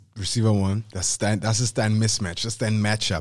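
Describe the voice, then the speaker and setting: On a very clean recording with a silent background, a man talks in an animated tone. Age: 30s. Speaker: football podcast co-host. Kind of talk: casual chat.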